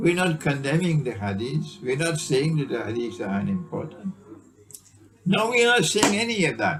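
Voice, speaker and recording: Against noticeable background noise, a man talks at a moderate pace in a fairly high pitch with very wide pitch swings. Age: 70s. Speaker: Islamic scholar. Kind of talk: lecture. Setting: small private gathering. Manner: animated.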